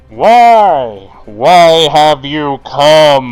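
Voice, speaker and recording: A put-on character voice. The pitch sits low to middle. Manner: ominous questioning.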